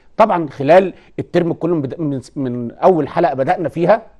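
Against a quiet background, a man speaks in a dark, mellow tone with lively intonation. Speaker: teacher presenting a TV lesson. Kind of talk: lecture. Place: studio. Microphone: lapel.

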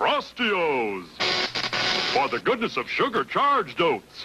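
Over music in the background, a man puts on a character voice pitched high for a man and speaks at a fairly slow pace. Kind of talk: carnival barker pitch. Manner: loud, hyped.

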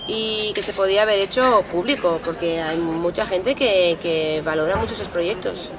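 Crowd noise runs in the background while a woman with a medium pitch and fairly even intonation talks at a moderate pace. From Italy. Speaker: artist. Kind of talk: interview. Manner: halting. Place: street.

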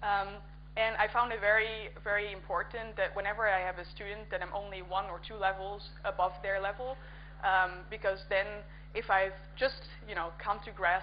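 This woman speaks with a Dutch accent. Her pace is moderate. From Netherlands. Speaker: conference speaker and coding workshop organizer. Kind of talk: conference talk. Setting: conference stage with audience.

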